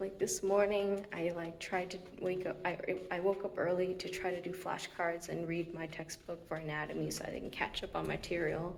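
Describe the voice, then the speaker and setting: A woman's fairly low voice at a moderate pace, with monotone, flat intonation. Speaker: physical therapy grad student vlogger. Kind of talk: casual vlog. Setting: outdoors, walking. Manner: chatty, filler-heavy.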